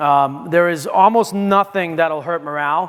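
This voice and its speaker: A high male voice with typical movement in pitch. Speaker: wine and spirits industry speaker. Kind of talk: conference talk. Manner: fast; halting, many fillers and restarts.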